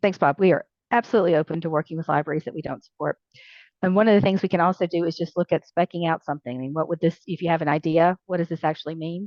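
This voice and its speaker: Talking very fast with a Southern US accent, a woman keeps a fairly low pitch and fairly even intonation. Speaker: library software company representative. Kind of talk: online meeting presentation Q&A.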